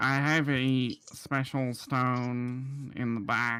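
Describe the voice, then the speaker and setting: Putting on a character voice, a man talks at a very slow pace with a medium pitch. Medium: actual play. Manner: hesitant, hedging salesman patter.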